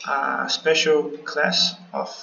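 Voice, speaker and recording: A man with a non-native accent, music in the background. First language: not English. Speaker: game level designer. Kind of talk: developer commentary over gameplay. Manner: casual, hesitant.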